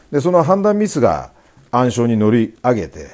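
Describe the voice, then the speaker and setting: A man's medium-pitched voice at a moderate pace, dark and mellow in tone, with vocal fry and very wide pitch swings. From Japan, Sendai (Miyagi). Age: 50s. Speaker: business coach and company founder. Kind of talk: interview talk. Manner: hesitant filler-heavy.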